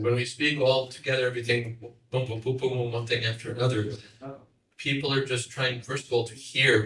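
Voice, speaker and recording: An American accent at a fairly quick pace, with audible room echo. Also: man. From United States. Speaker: monk and teacher. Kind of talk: lecture.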